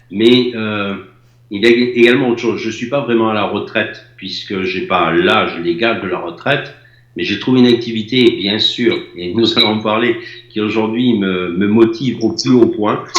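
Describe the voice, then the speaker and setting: A man speaks at a medium pitch and a moderate pace with fairly even intonation, with audible room echo and noticeable background noise. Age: 60s. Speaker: former building contractor. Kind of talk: testimony.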